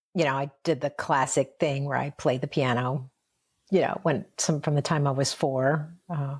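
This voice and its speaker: Delivered with a General American accent, the speech has fairly even intonation, a moderate pace, and a somewhat breathy quality. The recording is very clean, with a silent background. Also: woman, very deep, low pitch for a woman. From upstate New York. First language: Mandarin. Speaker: interview guest sharing life story. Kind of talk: casual interview conversation.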